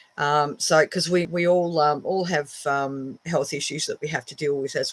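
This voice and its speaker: A woman talks at a moderate pace with an Australian accent. Her pitch variation is ordinary. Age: 60s. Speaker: witchcraft teacher and shop owner. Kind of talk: casual live stream talk. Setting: home office. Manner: hesitant, many fillers.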